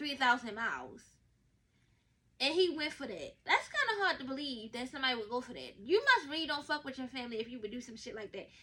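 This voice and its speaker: A woman's high, bright, sharp voice, raised and projected, animated in tone, with lively intonation and a very fast pace. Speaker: podcast host. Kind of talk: casual monologue.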